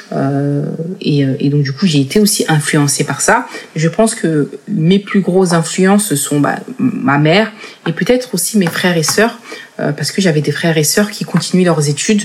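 Speaking at a fairly slow pace with lively intonation, a woman has a fairly low pitch over noticeable background noise. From France, Paris region (Seine-Saint-Denis). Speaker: entrepreneur, incubator founder. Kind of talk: interview. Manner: halting, many hesitations and repetitions.

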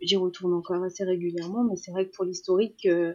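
A woman talks at a fairly quick pace with a medium pitch. Her intonation stays fairly even. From Iran. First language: Persian (speaking French). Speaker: makeup artist. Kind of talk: interview. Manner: halting, many repetitions.

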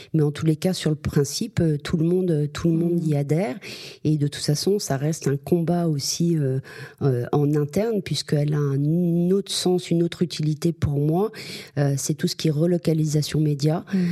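At a moderate pace, a woman speaks with a very deep, low pitch, fairly even intonation and very even loudness. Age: 50s. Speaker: media agency executive. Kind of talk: interview. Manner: hesitant, many fillers.

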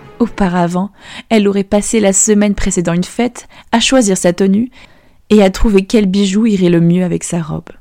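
A woman's animated, warm tone at a moderate pace, with music in the background. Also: medium pitch for a woman. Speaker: podcast storyteller. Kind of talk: fairy-tale narration for children. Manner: animated storyteller, voicing dialogue with changing tone; warm, gentle, clear pacing.

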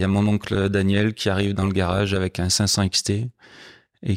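A man talks in a very deep, low pitch with monotone, flat intonation. The audio is dry and close with no echo, very clean, with a silent background. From France, Haute-Loire. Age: 50s. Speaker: motorcycle guide and club president. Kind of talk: casual interview. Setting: at his home.

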